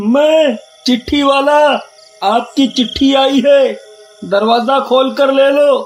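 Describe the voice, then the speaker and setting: A man's put-on character voice at a very slow pace, with faint music in the background. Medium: read story. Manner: taunting, cackling.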